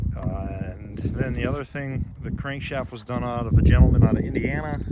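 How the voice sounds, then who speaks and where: A man's voice with big swings in loudness, set against noticeable background noise. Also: moderate pace. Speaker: snowmobile restorer and collector. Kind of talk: casual show-and-tell walkthrough. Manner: halting, with many fillers.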